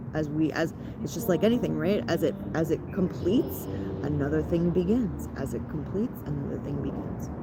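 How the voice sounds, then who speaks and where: Noticeable background noise and audible room echo surround this recording. A woman with a Canadian accent talks at a fairly quick pace in an animated tone. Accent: Canadian, often taken for American. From Ontario, Canada. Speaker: spiritual content creator. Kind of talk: guided ritual talk. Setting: outdoors in a park. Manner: casual, animated.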